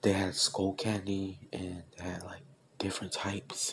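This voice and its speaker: A soft-spoken man is whispering. Light background noise can be heard. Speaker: asmr vlogger. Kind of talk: casual ASMR-style talk to camera showing a new headset. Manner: whispered, soft-spoken. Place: home room. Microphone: earbuds.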